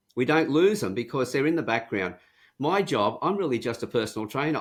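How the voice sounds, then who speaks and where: With an Australian accent, a man talks at a fairly quick pace in a fairly high pitch, showing vocal fry and lively intonation, on a very clean recording with a silent background. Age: 70s. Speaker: profiling and communications trainer. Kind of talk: interview.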